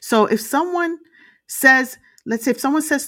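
A New York-accented woman at a moderate pace with very wide pitch swings, on a very clean recording with a silent background. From Brooklyn, New York. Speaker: podcast host and motivational speaker. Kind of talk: motivational talk. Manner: animated.

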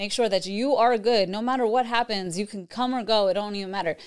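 A woman's normal speaking voice with an American accent, medium pitch, ordinary pitch variation and a fairly quick pace. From New York. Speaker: realtor. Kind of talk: casual chat.

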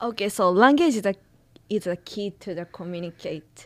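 A woman with a Japanese accent speaks at a fairly slow pace, using a medium pitch with ordinary variation. The recording is very clean, the background silent. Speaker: student podcast host. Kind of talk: interview.

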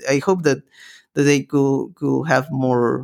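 A man with a Spanish accent at a medium pitch and moderate pace, on a very clean recording with a silent background. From Peru. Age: 20s. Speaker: podcast host. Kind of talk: interview. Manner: halting, many repetitions.

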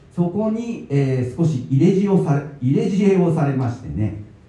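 With noticeable background noise and audible room echo around him, a man talks with very wide pitch swings. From Tokyo (Higashiyamato). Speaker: baker and author. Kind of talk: talk at a book event. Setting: event venue with live audience.

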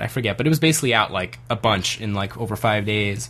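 With noticeable background noise behind him, a man talks at a fairly low pitch. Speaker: podcast co-host. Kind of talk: casual banter.

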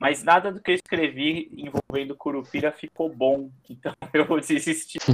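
An unremarkable speaking voice from a man, fairly high in pitch, at a fairly slow pace, with a dry, close sound and no echo. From São Paulo, Brazil. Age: 30s. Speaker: Portuguese teacher and writer. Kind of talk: live stream interview.

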